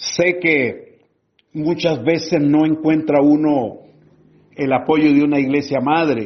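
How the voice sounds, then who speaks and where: Very slowly and at very even loudness, a man speaks in a fairly high pitch with fairly even intonation. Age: 70s. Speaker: pastor and church planter. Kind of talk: pastoral teaching talk. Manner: fervent, preacher-like.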